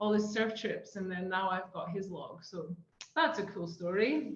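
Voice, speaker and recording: A woman talks at a fairly quick pace, and audible room echo surrounds her voice. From Scotland. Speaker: surf therapy program co-founder. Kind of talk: casual podcast chat. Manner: hesitant, many fillers.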